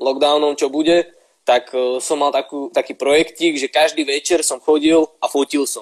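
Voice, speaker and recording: Here a man has a normal speaking voice at a fairly high pitch. He talks at a moderate pace in a dry, close sound with no echo. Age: 20s. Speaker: photographer and student. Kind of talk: casual live-stream interview.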